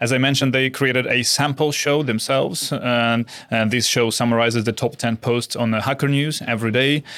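A man talks at a fairly quick pace with hardly any pauses and very even loudness. His pitch is medium and his intonation fairly even. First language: not English. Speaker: podcast host. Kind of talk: casual chat.

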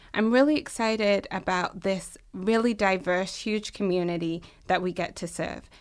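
The voice has an American accent and ordinary pitch variation. The recording is very clean, with a silent background. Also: woman. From England. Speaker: university health administrator. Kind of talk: interview.

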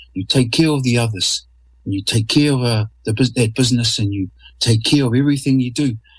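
Somewhat breathy and at a medium pitch, a man speaks fairly quickly with ordinary pitch variation on a very clean recording with a silent background. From New Zealand, North Island. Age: 50s. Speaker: artist. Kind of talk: interview. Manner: halting, repeats words.

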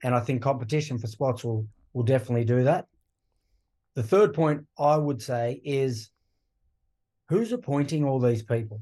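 With an Australian accent, a man speaks at a moderate pace and medium pitch, his dark, mellow tone somewhat breathy, with ordinary pitch variation and long, frequent pauses. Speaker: rugby podcast co-host, former player. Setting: remote call from Wales.

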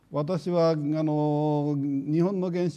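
Against a quiet background, a man speaks with a dark, mellow tone at a fairly high pitch. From Japan, Hiroshima. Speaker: nuclear engineering professor. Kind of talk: lecture.

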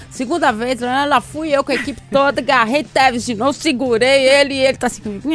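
Over music in the background, a woman talks at a fairly quick pace with hardly any pauses, her high-pitched voice fairly even in intonation. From Minas Gerais, Brazil (Poços de Caldas). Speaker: sports journalist. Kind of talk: casual chat.

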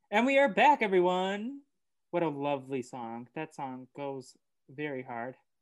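A fairly high-pitched man with an American accent and a normal speaking voice, lively intonation, big swings in loudness and a fairly slow pace. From Oklahoma. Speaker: podcast host. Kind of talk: casual chat. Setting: remote call recording.

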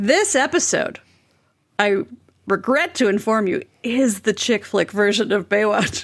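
A woman speaks in an ordinary speaking voice at a fairly slow pace, her fairly high pitch carried by lively intonation and very even loudness. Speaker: returning podcast guest. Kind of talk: casual comedic chat.

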